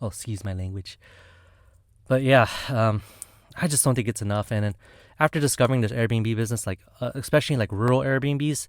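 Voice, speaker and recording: Over a silent background in a very clean recording, a man with a medium pitch and ordinary pitch variation talks at a fairly quick pace, broken by long, frequent pauses. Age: 30s. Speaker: pharmacist and vlogger. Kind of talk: casual vlog monologue. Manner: casual, many fillers and restarts.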